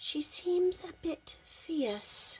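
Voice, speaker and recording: A woman performs a put-on character voice. Her pitch sits extremely high and swings very widely. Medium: read story. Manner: polite, earnest.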